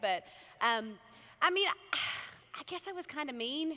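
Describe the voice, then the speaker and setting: This woman speaks with an Australian accent at a moderate pace. Her pitch swings very widely. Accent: Australian accent, noticeable. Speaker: country singer. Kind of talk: keynote speech, casual storytelling.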